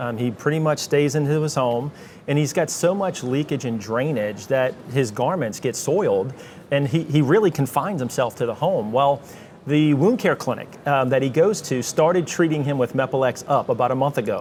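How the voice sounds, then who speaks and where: A man's fairly high voice in a Louisiana accent, lively intonation and a fairly quick pace, with music in the background. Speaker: medical company marketing director. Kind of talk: panel interview at live conference recording. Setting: live at a conference.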